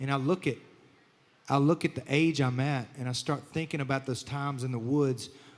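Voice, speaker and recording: A man speaks with a Southern US accent. His pitch is fairly high and his intonation fairly even. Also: fairly quick pace. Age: 30s. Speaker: country singer and show host. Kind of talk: casual chat.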